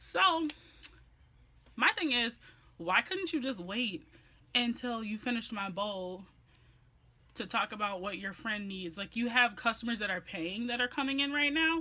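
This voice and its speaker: A woman speaks loudly in a bright, sharp, animated tone at a fairly high pitch. Her intonation is lively, broken by long, frequent pauses. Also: moderate pace. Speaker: beauty and lifestyle vlogger. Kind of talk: story time vlog.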